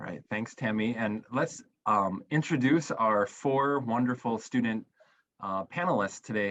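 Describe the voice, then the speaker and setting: A man at medium pitch, fairly slow pace. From Wisconsin, US Midwest. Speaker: school program director. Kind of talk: live webinar hosting.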